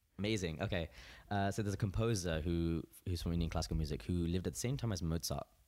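At a very fast pace, a man speaks with a very deep, low pitch and a dark, mellow tone, keeping his loudness very even. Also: ordinary pitch variation, very clean recording, silent background. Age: 20s. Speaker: musician. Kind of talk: interview.

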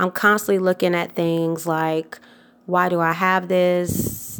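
In a very clean recording with a silent background, a woman with a plain, everyday voice speaks in an American accent at a fairly low pitch and a fairly slow pace. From US South, Atlanta, Georgia. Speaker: wardrobe stylist and podcast host. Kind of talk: solo tips podcast monologue. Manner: casual, many filler words.

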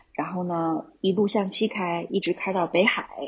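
Somewhat breathy, this woman speaks at medium pitch. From Xi'an, China. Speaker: camper van travel enthusiast, German teacher. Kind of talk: casual interview.

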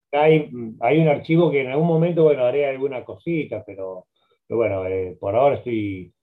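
A man with an unremarkable speaking voice talks at a moderate pace, his medium pitch rising and falling in a lively way. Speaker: journalist and biographer. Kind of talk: interview.

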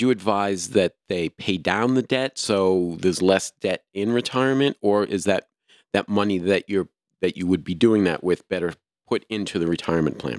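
Here is an unremarkable speaking voice from a man with an American accent, pitched fairly low and moving at a moderate pace. His pitch varies in an ordinary way, and the sound is dry and close with no echo. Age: 60s. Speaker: podcast host. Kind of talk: casual chat.

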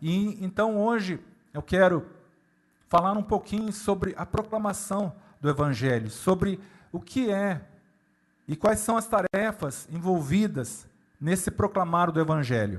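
A man with a high voice, speaking at a fairly slow pace with long, frequent pauses and ordinary pitch variation. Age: 60s. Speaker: pastor. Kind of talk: sermon.

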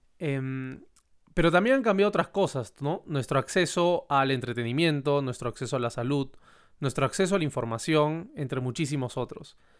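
A very clean recording with a silent background, a man at a moderate tempo and ordinary pitch variation. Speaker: podcast host. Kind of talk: podcast monologue.

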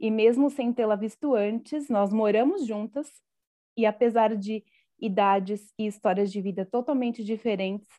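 The background is quiet and the pace is moderate. The tone is dark and mellow, with ordinary pitch variation. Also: woman. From Brazil, Guarulhos (São Paulo). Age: 30s. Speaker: podcast host. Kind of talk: casual chat. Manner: scripted intro.

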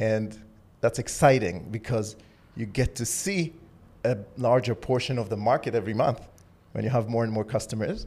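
Speaking at a moderate pace with long, frequent pauses, a man uses a medium pitch, somewhat breathy, with ordinary pitch variation. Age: 30s. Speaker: tech startup founder. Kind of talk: interview. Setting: studio.

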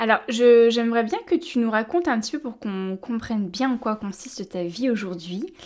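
At a moderate pace, a woman with a fairly high pitch speaks in a normal speaking voice with lively intonation. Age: young. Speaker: podcast host and naturopath. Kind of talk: interview.

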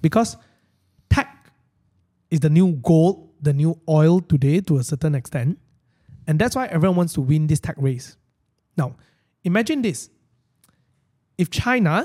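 With a Malaysian accent, a man speaks at a moderate pace in a dark, mellow tone at a fairly high pitch, using ordinary pitch variation and long, frequent pauses. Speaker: finance live stream host. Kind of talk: casual chat. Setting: live stream studio.

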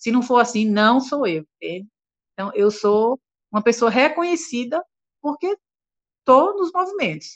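A woman's high pitch with very wide pitch swings, a fairly slow pace and long, frequent pauses, in a dry, close sound with no echo. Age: 60s. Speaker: singer. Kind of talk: interview.

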